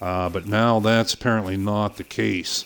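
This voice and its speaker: The voice has a relaxed tone and a Pittsburgh accent. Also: man. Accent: Pittsburgh accent, still present. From western Pennsylvania, outside Pittsburgh. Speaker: gaming streamer. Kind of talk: live game stream commentary. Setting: live stream from home. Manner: relaxed, with frequent fillers.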